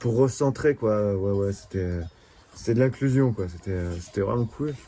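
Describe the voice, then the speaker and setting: This man has a dark, mellow tone. He speaks at a fairly slow pace. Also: fairly low pitch for a man, ordinary pitch variation. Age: 20s. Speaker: shepherd. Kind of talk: interview. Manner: halting.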